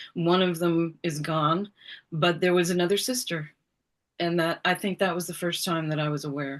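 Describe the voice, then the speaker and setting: Against a quiet background, a woman with an American accent uses an ordinary speaking voice, fairly low in pitch, with fairly even intonation at a moderate pace. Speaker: author. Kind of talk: interview. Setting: video call.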